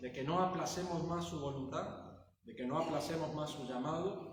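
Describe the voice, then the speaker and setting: Audible room echo surrounds a man who talks with ordinary pitch variation. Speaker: pastor. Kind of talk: sermon.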